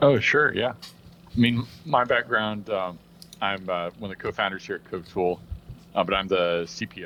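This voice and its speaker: A man with an American accent speaks at a moderate pace in a fairly low pitch with a bright, sharp tone. His pitch varies in an ordinary way, his loudness swings widely, and he leaves long, frequent pauses. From US Midwest. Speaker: tech company co-founder. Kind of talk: casual interview chat.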